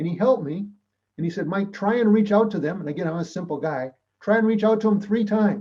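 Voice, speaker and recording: With an American accent, the voice moves at a very fast pace in a dark, mellow tone with ordinary pitch variation. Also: man. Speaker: public speaker and mediator. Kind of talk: talk to a club. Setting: club meeting. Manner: animated.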